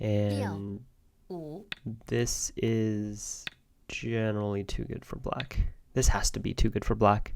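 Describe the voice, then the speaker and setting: Very slowly and in a flat monotone, a man at fairly low pitch talks with long, frequent pauses. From China. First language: Chinese. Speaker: Go player and teacher. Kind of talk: live game commentary. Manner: casual, thinking aloud.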